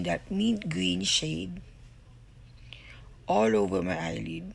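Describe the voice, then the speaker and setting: Audible room echo around a woman talking fairly slowly. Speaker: beauty vlogger. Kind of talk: makeup tutorial voiceover. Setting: recorded voiceover at home. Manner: casual, halting with fillers.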